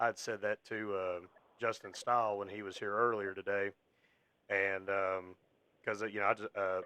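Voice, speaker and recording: With an American accent, a man at fairly low pitch speaks in a monotone, flat intonation with long, frequent pauses, a bright, sharp tone and a dry, close sound with no echo. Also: moderate pace. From Kentucky. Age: 30s. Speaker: wrestling podcast host and ring announcer. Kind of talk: casual interview chat. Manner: halting, many fillers.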